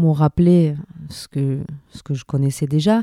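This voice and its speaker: The woman's voice is very deep and low, with a dark, mellow tone and fairly even intonation. The sound is dry and close, with no echo. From Paris and Venezuela. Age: 40s. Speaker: musician and singer. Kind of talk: interview.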